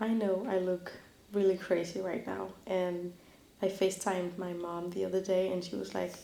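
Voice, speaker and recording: In an ordinary speaking voice, a woman talks at a medium pitch. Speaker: lifestyle vlogger. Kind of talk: casual talk to camera.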